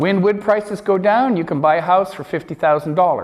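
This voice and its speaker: A man with a Canadian accent speaks in a high pitch. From Canada, Vancouver Island. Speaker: lecturer. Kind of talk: lecture. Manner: conversational.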